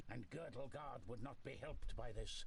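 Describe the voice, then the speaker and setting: A man performs a put-on character voice at a moderate pace over clear background noise. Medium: video game. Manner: measured, statesmanlike.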